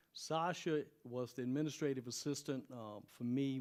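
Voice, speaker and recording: A man speaks in a normal speaking voice at a medium pitch, with fairly even intonation. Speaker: university president. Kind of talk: presentation to city commission. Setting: public meeting at a university.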